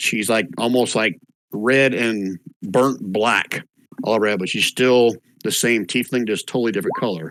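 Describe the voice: Against a quiet background, the voice is plain reading aloud with ordinary pitch variation.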